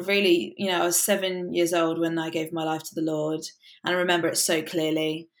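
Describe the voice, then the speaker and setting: On a very clean recording with a silent background, a woman with a southern English accent speaks with ordinary pitch variation. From England, south coast village. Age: 20s. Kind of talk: casual interview chat.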